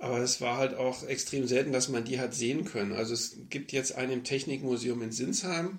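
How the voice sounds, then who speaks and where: A man with a slight Berlin accent, medium pitch and ordinary pitch variation, fairly quick with hardly any pauses, over noticeable background noise. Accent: faint Berlin. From West Berlin. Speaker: air traffic controller. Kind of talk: interview. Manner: frequent fillers (äh, ähm).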